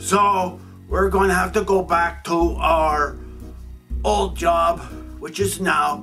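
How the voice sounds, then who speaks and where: A man puts on a cartoonish character voice at a very slow pace. Clear music plays in the background. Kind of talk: comic puppet show. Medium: puppet show. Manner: laid-back, hip slang, ends lines with "man".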